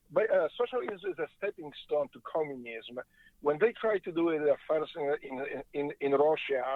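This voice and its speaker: At a moderate pace, a man with a Polish accent talks at a fairly high pitch with lively intonation. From Poland. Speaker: former Navy SEAL, interview guest. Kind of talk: interview. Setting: in a car on the freeway.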